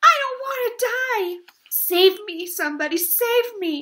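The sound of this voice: A woman speaks slowly in a put-on character voice, bright and sharp in tone, pitched extremely high, with lively intonation.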